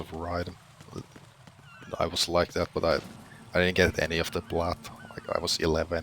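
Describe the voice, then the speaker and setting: Monotone, flat delivery at a fairly quick pace comes with noticeable background noise. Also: man. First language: not English. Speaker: gaming commentator. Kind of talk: gameplay commentary. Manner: casual, hesitant with filler words.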